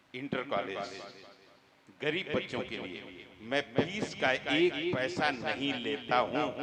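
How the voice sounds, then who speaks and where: There's noticeable background noise as a man with a medium-pitched voice speaks with lively intonation. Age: 70s. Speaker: politician. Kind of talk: speech to religious gathering.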